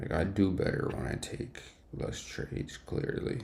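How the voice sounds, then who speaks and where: A man whispers at a fairly slow pace. Noticeable background noise and audible room echo surround him. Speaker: day trader streamer. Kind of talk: live trading stream commentary. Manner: casual, halting with fillers; whispering.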